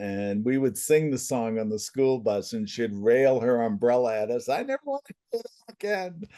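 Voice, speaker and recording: A man with a New England accent has a dark, mellow tone at medium pitch. He keeps a moderate pace with ordinary pitch variation against a quiet background. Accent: New England American. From central Massachusetts. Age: 70s. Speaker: family constellations facilitator, former comedian. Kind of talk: interview.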